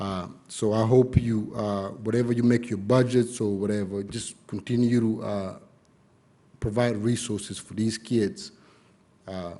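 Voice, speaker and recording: Speaking at a fairly slow pace and medium pitch, a man uses a dark, mellow tone and monotone, flat intonation, with big swings in loudness. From East Africa, lived in Kenya, came to US as teen. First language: not English. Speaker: public commenter at school board meeting. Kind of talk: public comment speech. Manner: halting, many fillers.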